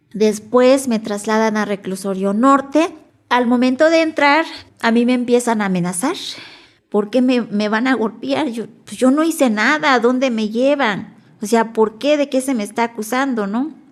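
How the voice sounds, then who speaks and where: A woman's fairly high voice carries ordinary pitch variation, delivered at a moderate pace. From Mexico, Nahuatl-speaking village. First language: Nahuatl (speaking Spanish). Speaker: Nahuatl interpreter-translator. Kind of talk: testimony.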